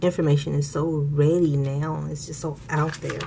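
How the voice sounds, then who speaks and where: A woman speaks at a moderate pace with a very deep, low pitch. Her intonation stays fairly even, and there is noticeable background noise. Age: 40s. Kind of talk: casual talk to camera.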